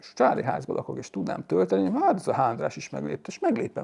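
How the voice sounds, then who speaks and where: There is vocal fry in this man's voice. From Hungary. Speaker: YouTuber on electric cars. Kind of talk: casual chat. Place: garage. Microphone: lapel.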